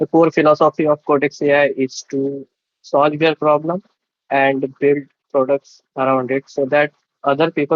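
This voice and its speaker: Pitched fairly high, a man's voice moves at a moderate pace. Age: 20s. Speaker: tech founder and writer. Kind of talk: interview. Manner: halting, with fillers.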